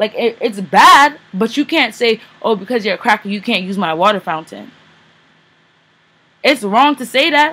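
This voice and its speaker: Her pitch is fairly high, and this woman talks at a moderate pace with lively intonation. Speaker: poet. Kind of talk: casual talk to camera.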